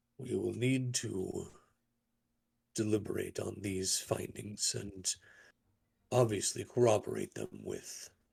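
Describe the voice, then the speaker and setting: A man's put-on character voice at a medium pitch, fairly slow in pace, with long, frequent pauses. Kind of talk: diplomatic council speech. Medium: actual play. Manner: deliberate, formal.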